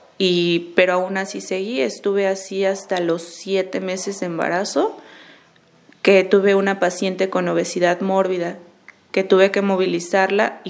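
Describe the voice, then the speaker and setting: Over noticeable background noise, a woman talks at a moderate pace with a medium pitch and a flat, monotone intonation. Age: 30s. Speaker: nurse. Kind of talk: testimony.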